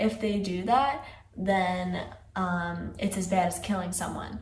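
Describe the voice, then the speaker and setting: Speaking at medium pitch with fairly even intonation, a woman is heard over noticeable background noise and audible room echo. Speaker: music video reaction youtuber. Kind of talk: video analysis commentary. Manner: casual, conversational.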